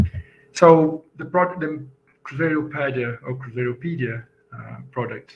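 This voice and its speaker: A man with a Portuguese accent talks at a moderate pace in a fairly high, somewhat breathy voice, his loudness swinging widely and his pitch varying in an ordinary way over light background noise. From Brazil. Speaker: software engineer and conference speaker. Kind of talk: conference talk. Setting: video call. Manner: halting. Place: home room. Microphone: webcam.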